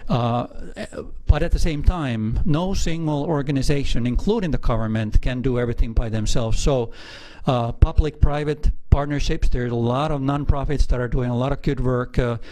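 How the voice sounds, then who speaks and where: With a strong Finnish accent and ordinary pitch variation, a man speaks over noticeable background noise. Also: medium pitch for a man, moderate pace. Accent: heavy Finnish. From northern Finland. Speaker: aquarium general manager. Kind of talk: interview. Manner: hesitant, many filler uhs.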